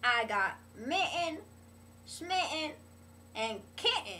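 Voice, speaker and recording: A woman speaks at a very slow pace in a raised, projected voice with very wide pitch swings. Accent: American. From US South, North Carolina/Virginia. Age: 70s. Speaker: interviewee. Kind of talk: interview answers.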